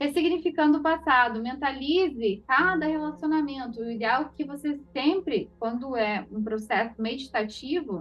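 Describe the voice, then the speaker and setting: A woman's high-pitched voice with lively intonation and hardly any pauses. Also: moderate pace. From Paraná, southern Brazil. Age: 30s. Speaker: holistic therapist. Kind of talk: online class.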